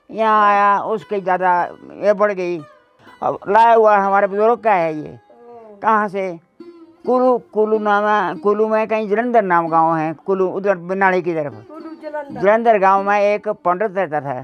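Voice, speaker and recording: Music plays in the background as a man speaks at a high pitch with ordinary pitch variation. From Himachal Pradesh, Shimla hills. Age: 80s+. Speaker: village elder and oral storyteller. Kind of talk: interview answer, folk tale narration. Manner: slow, repetitive, conversational.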